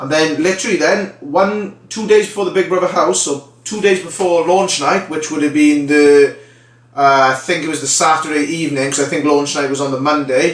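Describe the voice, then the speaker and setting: Speaking with a Welsh accent at a fairly quick pace, a man uses a fairly high pitch with ordinary variation while noticeable background noise runs underneath. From Wales, the Valleys. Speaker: vlogger, reality TV contestant. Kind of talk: casual vlog storytelling.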